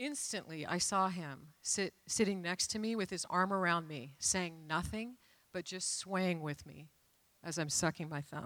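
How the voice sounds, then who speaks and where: A woman with an American accent and a normal speaking voice talks at a fairly slow pace and fairly low pitch. Her pitch variation is ordinary, and the recording is very clean with a silent background. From US Pacific Northwest (Renton, Washington). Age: 60s. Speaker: church member sharing testimony. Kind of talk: testimony. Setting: church stage.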